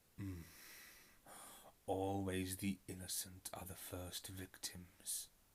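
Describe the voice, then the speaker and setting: A man's put-on character voice at a very deep, low pitch, delivered at a very slow pace in a monotone, flat intonation with long, frequent pauses. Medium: read story. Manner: slow, sorrowful, cryptic.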